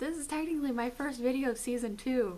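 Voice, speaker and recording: A woman speaks with audible room echo. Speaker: video blogger. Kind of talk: casual vlog. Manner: animated.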